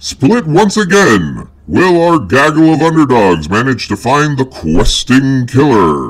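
A man talks at a fairly slow pace in an enthusiastic tone. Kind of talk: 1940s radio announcer. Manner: booming, enthusiastic.

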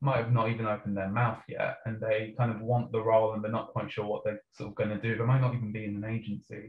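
Somewhat breathy and medium in pitch, a man with a northern English accent keeps his intonation fairly even. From northern England. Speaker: PR creative strategist. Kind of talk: panel discussion.

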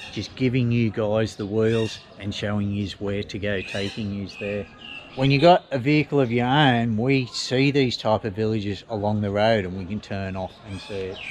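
Over light background noise, a man with an unremarkable speaking voice talks at a moderate pace in a fairly low pitch with ordinary pitch variation. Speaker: travel vlogger. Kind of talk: casual vlog chat. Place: street. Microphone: phone near.

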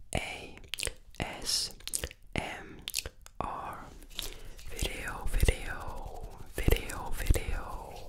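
Whispered speech at a very slow pace, broken by long, frequent pauses, over noticeable background noise. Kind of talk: ASMR whispered trigger words in many languages. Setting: binaural microphones, mouth sounds, mic scratching. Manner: whispered, repetitive.

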